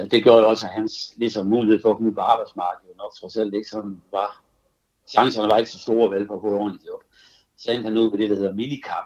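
A man with a fairly low pitch at a very fast pace, in a monotone, flat intonation with big swings in loudness. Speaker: childhood friend. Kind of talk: phone conversation. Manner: halting.

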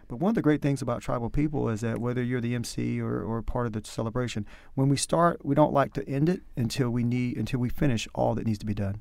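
Talking at a very fast pace, a man with a Southern US accent speaks in a medium pitch with ordinary pitch variation. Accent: Southern US, country. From North Carolina. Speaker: powwow MC and administrator. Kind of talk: interview.

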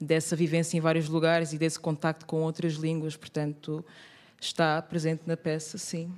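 A woman's very deep, low voice in monotone, flat intonation at a moderate pace. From Angola. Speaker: actress and theatre maker. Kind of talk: panel discussion. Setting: live recording in theatre bookshop.

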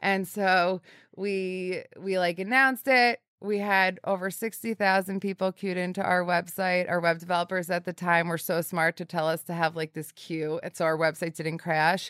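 A woman's normal speaking voice at medium pitch, moderate in pace with fairly even intonation, dry and close with no echo, on a very clean recording with a silent background. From northern New Jersey. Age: 30s. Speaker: bakery founder and company president. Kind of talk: interview. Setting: studio.

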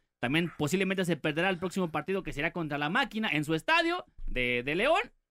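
High-pitched and bright with a sharp tone, a man talks at a very fast pace. The sound is dry and close, with no echo. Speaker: radio show co-host. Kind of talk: casual chat.

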